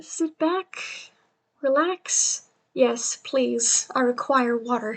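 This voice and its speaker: Lively intonation at a very slow pace. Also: woman. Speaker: streamer. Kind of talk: reading aloud on livestream with chat asides. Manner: casual, chatty.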